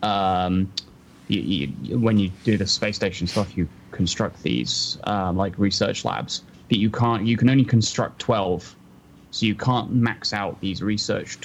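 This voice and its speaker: Someone with a southern English accent talks at a moderate pace with ordinary pitch variation. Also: man. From southern England. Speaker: podcast co-host. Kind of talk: casual chat.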